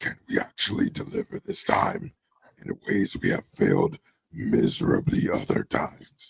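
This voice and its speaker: A man puts on a raspy character voice, pitched high for a man. He talks at a moderate pace. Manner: exaggerated put-on voice, disappointed.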